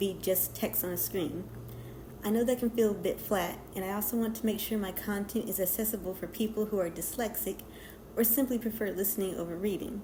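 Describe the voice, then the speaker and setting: A shaky woman's voice at a medium pitch, with fairly even intonation and a fairly quick pace. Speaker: digital artist. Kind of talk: scripted narration. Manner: reading from a script.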